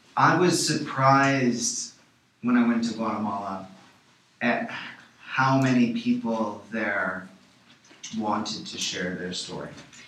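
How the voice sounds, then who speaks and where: In a room with audible echo, a man with an American accent talks very slowly, with long, frequent pauses and big swings in loudness. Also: medium pitch for a man, ordinary pitch variation. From Chicago, US Midwest. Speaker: documentary filmmaker. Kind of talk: radio interview. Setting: radio studio.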